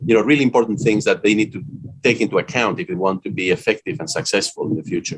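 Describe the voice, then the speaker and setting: A man with a Spanish accent, medium in pitch, very fast in pace, with very wide pitch swings. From Spain. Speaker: business school dean and author. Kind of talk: interview. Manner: frequent hesitations (uh).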